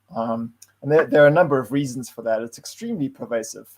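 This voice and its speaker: This man speaks with a South African accent. His pitch is medium, with ordinary variation. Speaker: data science consultant, meetup presenter. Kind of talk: tech talk presentation. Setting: online livestream. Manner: hesitant, with fillers and repeated words.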